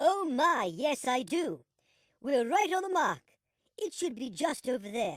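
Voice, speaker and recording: This cartoonish character voice is high-pitched, with very wide pitch swings. It moves at a moderate pace, broken by long, frequent pauses. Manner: polite, flowery.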